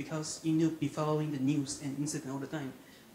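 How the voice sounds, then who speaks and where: Amid noticeable background noise, a man with a fairly high voice speaks at a very fast pace. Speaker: audience member. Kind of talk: question from audience.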